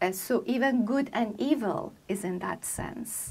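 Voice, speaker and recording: With an American accent, a woman speaks in a fairly high, somewhat breathy voice with ordinary pitch variation. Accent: Persian-tinged American English. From Iran. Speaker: poet and translator. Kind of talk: interview.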